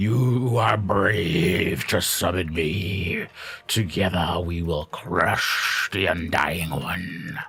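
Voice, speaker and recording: A man puts on a rumbling character voice, pitched very deep and low. He speaks at a very slow pace. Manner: commanding, ominous.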